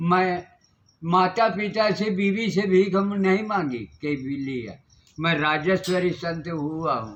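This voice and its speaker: A man's high voice with ordinary pitch variation. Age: 80s+. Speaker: wandering ascetic. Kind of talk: interview.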